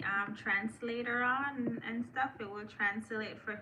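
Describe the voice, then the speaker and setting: Fairly slow speech with noticeable background noise behind it. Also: woman. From Jamaica. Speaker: live streamer, content creator. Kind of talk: casual live stream chat. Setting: live stream on laptop. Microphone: laptop.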